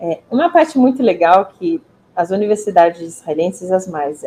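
The pace is moderate. A woman talks at a medium pitch. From Israel. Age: 40s. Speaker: university representative. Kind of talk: interview.

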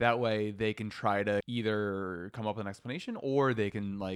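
A man's normal speaking voice at a fairly low pitch, with fairly even intonation and a moderate pace. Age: 30s. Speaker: psychologist and podcast co-host. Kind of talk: casual chat.

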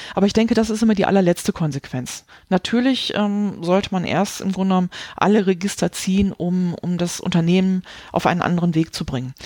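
Delivered at a fairly quick pace, the speech has a dark, mellow tone and ordinary pitch variation. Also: woman, medium pitch for a woman. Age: 40s. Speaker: quality management consultant and author. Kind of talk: interview.

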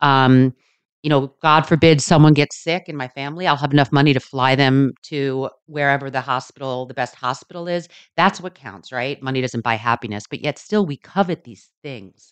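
Very deep and low, a woman's voice moves at a moderate pace with ordinary pitch variation and big swings in loudness. The sound is dry and close with no echo, over a quiet background. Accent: American. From Texas (Sugar Land). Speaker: podcast co-host, reality TV personality. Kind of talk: casual chat.

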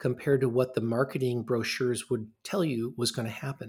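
In a very clean recording with a silent background, a man with an American accent speaks at medium pitch, sounding somewhat breathy. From US Midwest, Ann Arbor, Michigan. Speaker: radiology professor. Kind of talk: interview.

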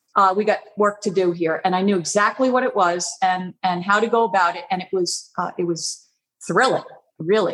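A woman speaks in a plain, everyday voice at a medium pitch. Her pace is moderate and her intonation fairly even. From Long Island, New York. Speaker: artist. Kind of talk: interview.

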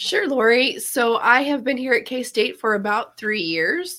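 A woman with an American accent and a fairly high voice speaks at a fairly slow pace, her tone bright and sharp and her intonation lively.

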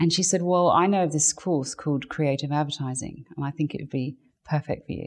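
This woman talks at a fairly quick pace with a very deep, low pitch and fairly even intonation. She speaks with an English accent. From England. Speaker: artist and stylist. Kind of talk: interview. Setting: guest's home studio.

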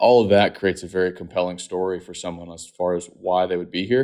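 Over a quiet background, a man with an American accent speaks fairly quickly in a very deep, low, flat monotone. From North Texas (Fort Worth area). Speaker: real estate logistics innovation director. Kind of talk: interview.

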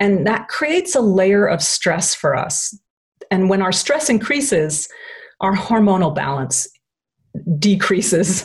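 At a fairly slow pace, a woman with a medium pitch and a somewhat breathy voice swings very widely in pitch and leaves long, frequent pauses. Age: middle-aged. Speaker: nutritionist and acupressure therapist. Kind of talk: interview conversation.

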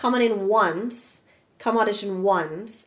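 A woman with an American accent and a plain, everyday voice, medium in pitch with fairly even intonation. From Brooklyn, New York. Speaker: actress. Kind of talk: casual chat.

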